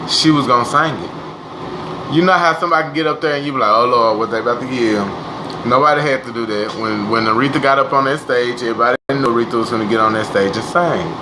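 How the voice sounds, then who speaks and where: Talking very fast at a medium pitch with ordinary pitch variation, this man is heard over noticeable background noise and audible room echo. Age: 20s. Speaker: livestreamer. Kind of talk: casual chat. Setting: live stream. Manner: animated.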